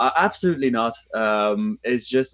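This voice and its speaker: A voice with a French accent swings very widely in pitch, recorded very cleanly with a dry, close sound, no echo and a silent background. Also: man. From France. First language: French and Japanese. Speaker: actor. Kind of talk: interview. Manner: halting with many fillers.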